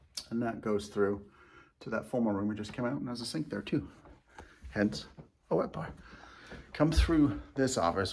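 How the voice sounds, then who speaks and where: Talking at a fairly quick pace, a man uses vocal fry and very wide pitch swings. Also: long, frequent pauses. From England, moved to US at twelve. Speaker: real estate agent. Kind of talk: house tour video. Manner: casual, conversational.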